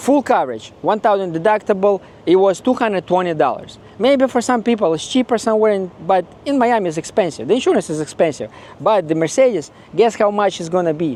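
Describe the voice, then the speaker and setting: Someone with a Ukrainian accent speaks at a very fast pace with lively intonation. Noticeable background noise runs underneath. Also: man, high pitch for a man. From Ukraine. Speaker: car owner vlogger. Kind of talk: casual video review.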